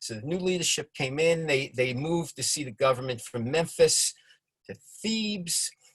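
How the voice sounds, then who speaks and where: Lively in intonation, a man speaks with a New York accent. His voice is somewhat breathy, and his pace is moderate. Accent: New York accent, noticeable. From New York (Bronx and Long Island). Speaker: congregation member presenting a study session. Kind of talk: informal lecture with slides. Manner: drops middle syllables; hesitant, many fillers and repetitions.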